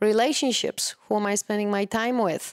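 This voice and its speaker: A woman with a Polish accent speaks in a very clean recording with a silent background. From Poland. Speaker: wellness coach. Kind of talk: interview.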